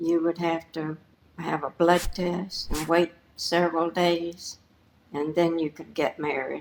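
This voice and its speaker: A woman's fairly low, monotone, flat voice at a very slow pace. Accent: Southern US. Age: 80s+. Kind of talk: interview answer. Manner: quiet.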